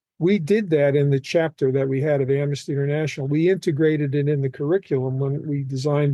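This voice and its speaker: At a very fast pace, a man talks with a fairly high pitch and fairly even intonation. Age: 70s. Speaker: retired social studies educator. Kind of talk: interview.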